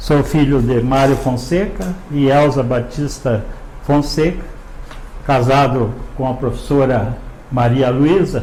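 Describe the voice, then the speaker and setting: Very slow delivery with long, frequent pauses, ordinary pitch variation and very even loudness, plus audible room echo and noticeable background noise. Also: man, medium pitch for a man. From Paraná, Brazil (Jaguariaíva). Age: 70s. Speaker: retired teacher. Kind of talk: interview.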